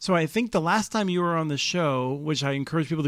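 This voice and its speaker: Over a very clean recording with a silent background, a man talks at a fairly quick pace with ordinary pitch variation. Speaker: podcast host. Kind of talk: interview. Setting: conference. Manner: fast.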